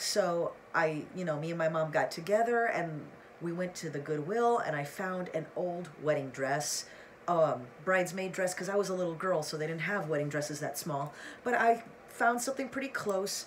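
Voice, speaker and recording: A woman with a fairly low pitch speaks at a moderate pace in an animated tone, her intonation lively. Room echo is audible, along with noticeable background noise. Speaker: YouTuber. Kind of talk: casual vlog talk to camera.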